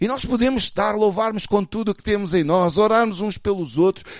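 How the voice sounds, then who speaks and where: A man speaks in an animated tone with a European Portuguese accent. His pitch is high. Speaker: pastor. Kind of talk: sermon. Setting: church.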